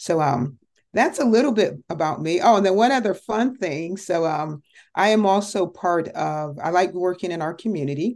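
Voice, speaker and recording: Against a quiet background, a woman with an American accent uses a normal speaking voice at medium pitch, with lively intonation and a moderate pace. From Connecticut, US. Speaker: entrepreneur and ministry leader. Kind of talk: interview testimony.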